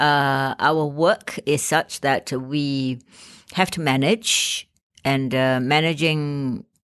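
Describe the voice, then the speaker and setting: A woman with a Malaysian accent, very slow, very deep and low in pitch, with ordinary pitch variation. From Malaysia, Penang. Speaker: actor and playwright. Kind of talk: interview.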